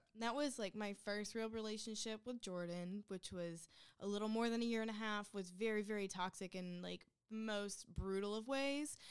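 With an unremarkable speaking voice, a woman speaks at a fairly high pitch and a moderate pace, her intonation fairly even. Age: 20s. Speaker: guest co-host. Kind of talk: casual chat.

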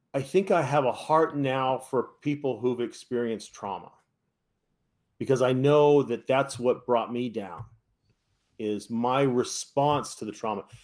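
In a normal speaking voice at medium pitch, a man with an American accent speaks at a fairly slow pace. His pitch varies in an ordinary way. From US West Coast, San Francisco Bay Area. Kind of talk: interview testimony.

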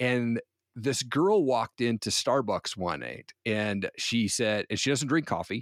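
The speaker has an ordinary speaking voice with an American accent and lively intonation. The recording is very clean, with a silent background. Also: man. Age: 40s. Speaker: entrepreneur and podcaster. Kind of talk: interview testimony.

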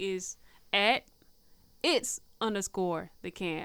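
With an American accent, a woman talks at a very slow pace in a bright, sharp tone, captured on a very clean recording with a silent background. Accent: Southern US, comes and goes. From Tennessee. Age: 20s. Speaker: media personality and recording artist. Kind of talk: casual interview chat.

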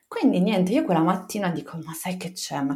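A woman's voice with very wide pitch swings. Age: 30s. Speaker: mother sharing birth story. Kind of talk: testimony. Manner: halting.

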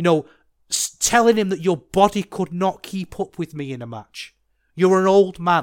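A man speaks at a moderate pace with a high pitch. The recording is very clean, with a silent background and a dry, close sound with no echo. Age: 30s. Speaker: wrestling podcast host. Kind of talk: solo podcast commentary.

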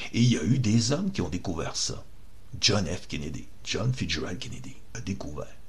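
A man with a fairly low pitch speaks at a moderate pace. His pitch swings very widely, and there is audible room echo. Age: 50s. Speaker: activist, online radio host. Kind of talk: monologue, political rant.

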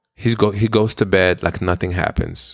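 With a non-native accent, a man speaks at a fairly slow pace and keeps his intonation fairly even. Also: very clean recording, silent background. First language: not English. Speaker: podcast co-host. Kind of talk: casual chat.

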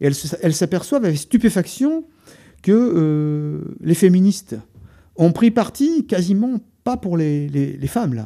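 Delivered at a fairly slow pace, the voice has a dark, mellow tone, very wide pitch swings and long, frequent pauses. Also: man, high pitch for a man. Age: 60s. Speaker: writer and poet. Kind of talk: radio interview. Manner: halting, many repetitions.

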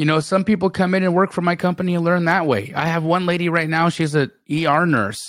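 A man is speaking. His pace is moderate. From Calgary, Alberta, Canada. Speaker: real estate investor. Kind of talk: interview. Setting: video call.

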